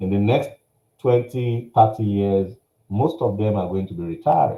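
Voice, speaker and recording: A man with a Nigerian accent, fairly low-pitched and dark, mellow in tone, at a moderate pace with ordinary pitch variation. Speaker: workshop speaker, business coach. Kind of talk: workshop presentation. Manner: animated.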